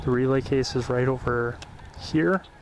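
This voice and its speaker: A man speaks at medium pitch and a moderate pace. Noticeable background noise runs underneath. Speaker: railroad crossing video creator. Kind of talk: casual tour narration. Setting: outdoors.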